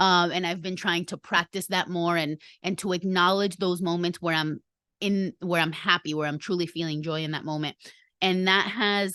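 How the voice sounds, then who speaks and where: Speaking in a Spanish accent, a woman has a fairly low pitch, a bright, sharp tone and monotone, flat intonation. The sound is dry and close with no echo, and the background is quiet. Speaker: podcast host. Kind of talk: casual podcast monologue.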